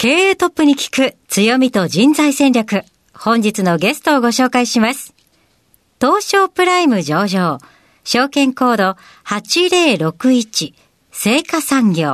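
Against a quiet background with a dry, close sound and no echo, a woman speaks at a very slow pace in a high pitch with very wide pitch swings. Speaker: radio show assistant host. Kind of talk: radio interview. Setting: studio. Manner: formal.

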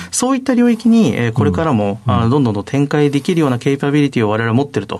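Talking very fast with hardly any pauses, a man with a fairly high pitch makes very wide pitch swings over noticeable background noise. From Saitama, Japan. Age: 30s. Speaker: company CEO. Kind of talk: interview.

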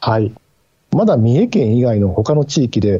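Somewhat breathy, a man's voice sits in the medium range. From Mie, Japan. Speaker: newspaper bureau chief, journalist. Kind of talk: radio interview. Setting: remote call via Teams.

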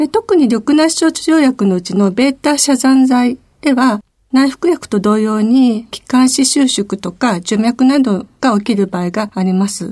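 The voice has a dark, mellow tone and lively intonation. It moves at a fairly slow pace. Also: woman, high pitch for a woman. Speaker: pharmacist. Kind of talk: radio interview. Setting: studio.

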